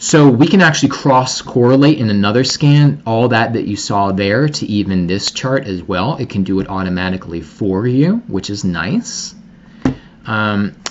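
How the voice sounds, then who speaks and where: Fairly low in pitch, a man with an ordinary speaking voice uses lively intonation at a moderate pace. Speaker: product researcher and marketing consultant. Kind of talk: product demo presentation.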